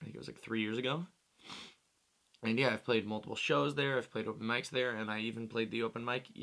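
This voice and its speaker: Bright and sharp in tone, a man speaks at a fairly quick pace with ordinary pitch variation over a quiet background. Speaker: musician vlogger. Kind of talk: casual vlog chat. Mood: playful, self-mocking. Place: home room. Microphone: studio mic.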